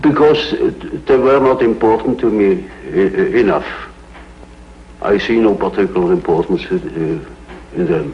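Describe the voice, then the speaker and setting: Speaking at a fairly slow pace with long, frequent pauses, a man with a Swiss German accent is heard over noticeable background noise. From Switzerland. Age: 80s+. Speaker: psychiatrist. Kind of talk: interview answer.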